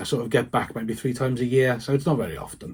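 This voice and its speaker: A somewhat breathy man's voice. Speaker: vicar. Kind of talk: personal testimony to camera. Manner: halting, with repetitions.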